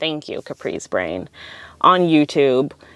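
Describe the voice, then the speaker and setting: Against a quiet background, a woman with a Californian accent speaks in a relaxed tone with a dry, close sound and no echo. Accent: Californian speech, lots of 'like'. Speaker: podcast host. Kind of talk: casual podcast monologue. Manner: relaxed, filler words like 'um' and 'like'.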